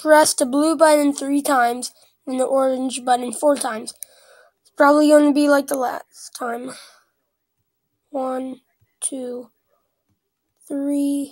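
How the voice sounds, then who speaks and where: The speaker's voice is squeaky and flat in intonation, moving at a fairly slow pace with long, frequent pauses and big swings in loudness. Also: woman, high pitch for a woman. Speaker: gaming YouTuber. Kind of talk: gameplay commentary. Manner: casual, reactive.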